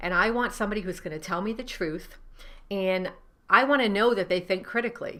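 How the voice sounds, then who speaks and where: A woman with a Rhode Island accent talks at a fairly quick pace in a bright, sharp tone. Her pitch varies in an ordinary way, on a very clean recording with a silent background. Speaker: novelist and writing coach. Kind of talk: tutorial. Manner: casual, with many fillers.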